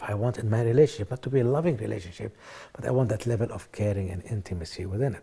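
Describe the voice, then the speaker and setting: This man's voice has a dark, mellow tone and is somewhat breathy, sitting at a medium pitch with ordinary pitch variation as he talks at a very fast pace. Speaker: author and motivational speaker. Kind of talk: self-help seminar talk.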